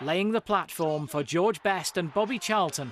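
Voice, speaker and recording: With music in the background, the speaker talks at a fairly slow pace with lively intonation. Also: man. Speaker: TV reporter. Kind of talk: TV news report voiceover.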